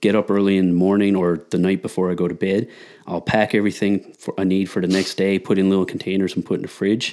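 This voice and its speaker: On a very clean recording with a silent background, a man with a fairly low pitch and a dark, mellow tone talks at a fairly quick pace. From Newfoundland, Canada. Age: 30s. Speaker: powerlifter and strength coach. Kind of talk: casual chat.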